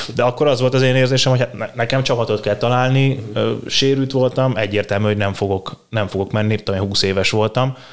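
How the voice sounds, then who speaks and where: A man with a normal speaking voice and a medium pitch talks at a fairly quick pace. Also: fairly even intonation, very even loudness. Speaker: strength and conditioning coach. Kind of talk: interview.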